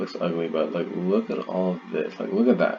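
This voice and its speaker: Music sounds behind the speaker. He is a man talking at a moderate speed. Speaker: gaming youtuber. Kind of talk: let's play commentary reading game text aloud. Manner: halting, frequent misreads and restarts; animated reactions.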